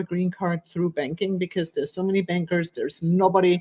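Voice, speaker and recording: In a German accent, a woman speaks at a medium pitch against a quiet background. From Germany. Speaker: fitness coach and personal trainer. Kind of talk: podcast interview. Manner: animated.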